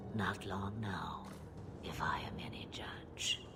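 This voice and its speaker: A cartoonish character voice whispers at a fairly slow pace. Loud background noise runs underneath. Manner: wry, unhurried, theatrical.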